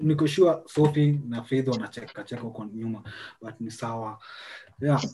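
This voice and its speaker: Medium-pitched and somewhat breathy, a man speaks at a moderate pace with ordinary pitch variation and big swings in loudness. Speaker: fellowship leader. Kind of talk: casual chat. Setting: video call.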